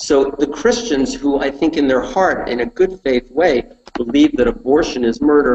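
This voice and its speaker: A fairly high male voice with an American accent, ordinary pitch variation and a fairly slow pace. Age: 50s. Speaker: political talk show host. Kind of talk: political commentary on live web show. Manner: animated.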